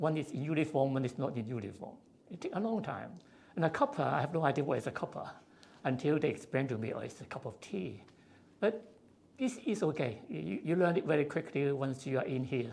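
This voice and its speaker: A man talks at a fairly quick pace with lively intonation. His fairly high voice carries vocal fry. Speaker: civil engineer, honorary fellow. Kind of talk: interview. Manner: halting, frequent fillers.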